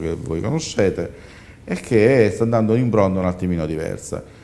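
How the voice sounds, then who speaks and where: This man speaks with a very deep, low pitch. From Sicily. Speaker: entrepreneur and publisher; guest. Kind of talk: studio panel discussion. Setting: TV studio. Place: studio. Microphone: lapel.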